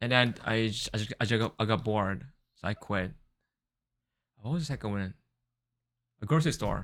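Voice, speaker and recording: A man's fairly low voice with a Japanese accent, at a fairly quick pace with long, frequent pauses and ordinary pitch variation, on a very clean recording with a silent background. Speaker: podcast co-host. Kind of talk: casual chat.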